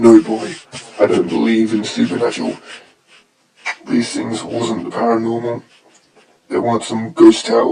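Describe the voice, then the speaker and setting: Using a raspy, put-on character voice at a medium pitch, a man speaks at a moderate pace with long, frequent pauses. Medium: read story. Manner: gruff, terse, rural drawl.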